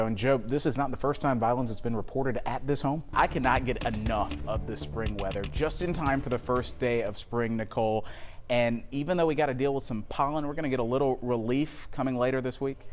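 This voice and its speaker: A man with an American accent, medium pitch and ordinary pitch variation, at a fairly quick pace with hardly any pauses, music in the background. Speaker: TV news anchor and reporter. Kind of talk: TV news anchor and reporter delivery.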